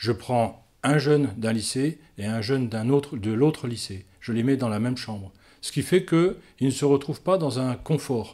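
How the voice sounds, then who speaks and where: A man talks at a fairly slow pace and medium pitch, with ordinary pitch variation and a dark, mellow tone. The recording is very clean over a silent background. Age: 60s. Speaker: air force reserve colonel and instructor. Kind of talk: interview. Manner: halting, many hesitations.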